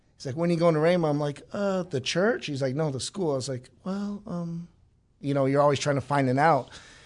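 This is an ordinary speaking voice. It goes at a fairly quick pace, with ordinary pitch variation. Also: man, fairly high pitch for a man, quiet background. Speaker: Bible school student. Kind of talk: testimony.

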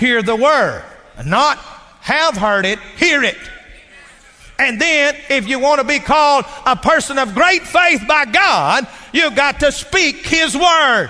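Speaking in a Texas accent, a man uses a raised, projected voice at an extremely high pitch, with lively intonation and a fairly slow pace over noticeable background noise. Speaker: preacher. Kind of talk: sermon.

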